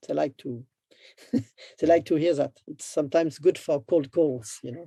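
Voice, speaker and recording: A French accent at a moderate pace. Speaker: business development entrepreneur. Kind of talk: interview. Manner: halting.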